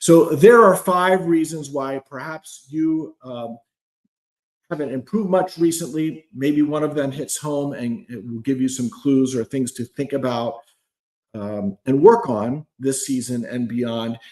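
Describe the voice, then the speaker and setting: A man talks in an unremarkable speaking voice with lively intonation. His loudness swings widely. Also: fairly high pitch for a man, fairly slow pace. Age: 60s. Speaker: climbing coach. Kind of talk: live stream talk. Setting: live video stream.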